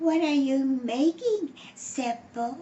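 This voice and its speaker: A woman uses a put-on character voice with a high pitch. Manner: sweetly coaxing, feigning innocence.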